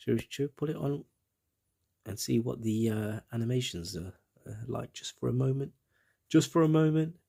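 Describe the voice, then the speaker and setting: With a British accent, this voice has a dark, mellow tone, lively intonation, a moderate pace and long, frequent pauses. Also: man, medium pitch for a man. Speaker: gaming commentator. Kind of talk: gameplay walkthrough commentary. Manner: casual, rambling with repetitions.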